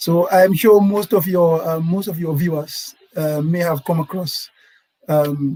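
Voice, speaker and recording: The man's voice is high-pitched, with ordinary pitch variation. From Gambia, Serekunda. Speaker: lawyer. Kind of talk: panel discussion.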